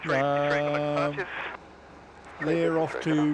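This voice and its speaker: Noticeable noise sits behind this man's voice. He has an Australian accent and a fairly high pitch. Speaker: aviation livestream co-host. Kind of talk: casual chat. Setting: outdoors.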